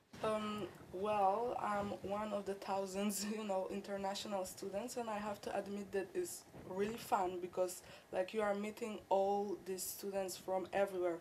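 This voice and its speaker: A woman with a Polish accent, medium pitch and monotone, flat intonation, at a moderate pace over noticeable background noise. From Poland. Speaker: university student. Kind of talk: interview. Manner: halting.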